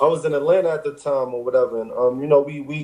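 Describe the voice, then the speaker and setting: In a New York accent, a man talks at a very fast pace with a fairly high pitch, a dark, mellow tone and monotone, flat intonation. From Long Island, New York. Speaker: rapper. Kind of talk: casual interview. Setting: in a car.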